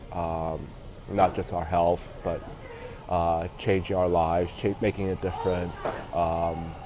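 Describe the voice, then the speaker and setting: Noticeable background noise fills the recording. Over it, a man talks fairly slowly. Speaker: vlogger. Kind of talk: casual livestream monologue. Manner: halting, many fillers.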